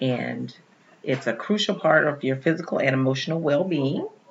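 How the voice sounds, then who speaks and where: Over noticeable background noise, a woman with a very deep, low pitch speaks at a fairly slow pace. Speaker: podcast co-host. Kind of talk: casual chat. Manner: speaking low.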